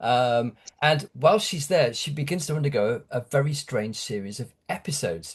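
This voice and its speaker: This man speaks in a British accent at a moderate pace, his pitch fairly high. His voice is somewhat breathy, with lively intonation. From UK. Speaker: horror author. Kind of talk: interview. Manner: halting, many fillers.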